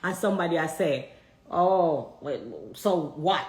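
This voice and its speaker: In a room with audible echo, a woman talks at a fairly low pitch with ordinary pitch variation. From Jamaica. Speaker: reality show contestant. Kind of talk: personal statement video.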